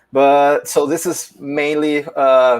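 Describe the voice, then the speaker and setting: Speaking in a Portuguese accent, a man with a fairly high pitch delivers his words very slowly in a monotone, flat intonation. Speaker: philosophy teacher presenting a paper. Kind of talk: academic conference talk. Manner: halting, many fillers.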